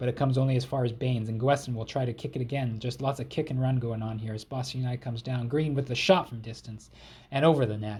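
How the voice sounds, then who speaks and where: At a very fast pace, a man talks in a somewhat breathy voice at a medium pitch with fairly even intonation. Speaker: gaming YouTuber. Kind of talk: video game let's play commentary. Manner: casual, play-by-play.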